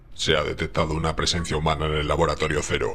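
Putting on a robotic character voice, a man with a very deep, low pitch talks at a very fast pace with clear background noise. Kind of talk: announcement-like. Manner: robotic, mechanical.

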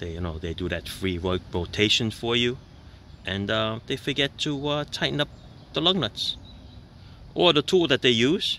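A man with a bright, sharp tone speaks at a moderate pace, his pitch swinging very widely. He leaves long, frequent pauses, over light background noise in a dry sound with no echo. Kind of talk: casual explanatory commentary. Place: street. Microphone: phone near.

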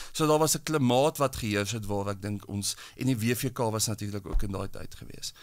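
A man has a normal speaking voice at a fairly low pitch with ordinary pitch variation. The recording is very clean, with a silent background. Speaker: psychologist and columnist. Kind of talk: panel discussion.

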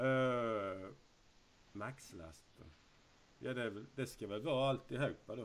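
Speaking at a very slow pace with long, frequent pauses, a man shows ordinary pitch variation and big swings in loudness. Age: 30s. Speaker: YouTuber. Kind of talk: casual quiz video. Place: home room.

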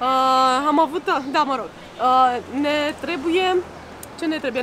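Over noticeable background noise, a woman talks in a high pitch at a moderate pace. Her pitch variation is ordinary. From Romania. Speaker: vlogger. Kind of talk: casual vlog chat. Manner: soft-spoken. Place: street. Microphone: phone near.

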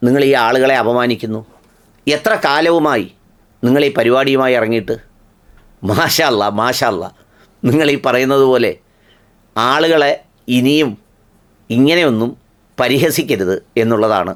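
A man in a normal speaking voice, medium pitch, ordinary pitch variation, very even loudness. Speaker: video commentator. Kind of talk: humorous monologue.

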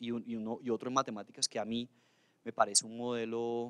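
Against a quiet background, a man speaks. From Colombia, Cali (Valle del Cauca); Colombia. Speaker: government official. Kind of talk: official speech. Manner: halting, many fillers. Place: hall. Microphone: handheld.

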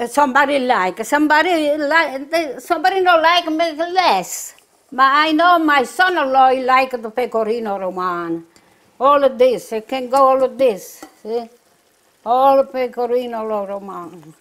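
Against a quiet background, a high-pitched woman speaks at a moderate pace with lively intonation in a strong southern Italian accent. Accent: heavy southern Italian accent in English. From southern Italy, Puglia. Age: 80s+. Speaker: home cook; home cook host. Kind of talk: cooking tutorial. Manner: halting. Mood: warm, cheerful. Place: kitchen.

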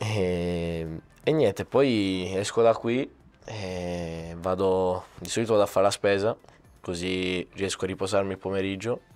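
Over faint background music, a man speaks at a very deep, low pitch with fairly even intonation. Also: fairly slow pace. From Sicily, Catania. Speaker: youth footballer. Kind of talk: casual interview. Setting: training center. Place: studio. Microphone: handheld.

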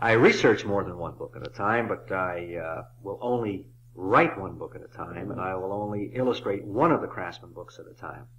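With vocal fry and lively intonation, a man speaks at a moderate pace and fairly low pitch, his loudness swinging widely over light background noise. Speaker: author and illustrator. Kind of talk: interview answer. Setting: old cassette recording. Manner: hesitant, thoughtful. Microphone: old recording.

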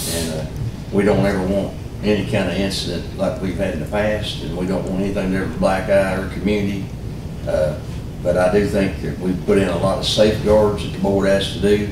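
Over noticeable background noise and audible room echo, a man talks at a fairly quick pace with fairly even intonation. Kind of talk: formal meeting remarks. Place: meeting room. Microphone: camera far.

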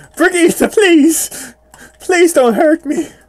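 A man does a put-on character voice. His pitch is extremely high. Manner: pleading, frightened.

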